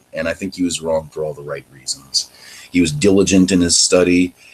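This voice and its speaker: Here a man speaks in an American accent at a fairly quick pace. His pitch is very deep and low. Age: 30s. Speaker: show host giving his life story. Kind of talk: testimony. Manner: halting.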